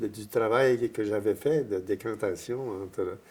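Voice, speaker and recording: A man speaks at a very slow pace in a dark, mellow tone. His intonation stays fairly even. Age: 80s+. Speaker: priest. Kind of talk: interview. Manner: halting, many repetitions.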